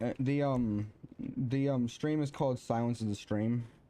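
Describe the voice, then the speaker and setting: With lively intonation and a dark, mellow tone, the voice moves at a moderate pace. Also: man. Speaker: gaming streamer. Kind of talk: casual gameplay stream chat. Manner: hesitant, many fillers and restarts.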